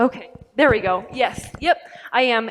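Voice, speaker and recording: A woman speaks in a plain, everyday voice with a fairly high pitch and ordinary pitch variation. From Colorado, US (born in Mexico). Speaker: university student, immigrant advocate, panelist. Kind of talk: panel discussion. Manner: frequent um fillers.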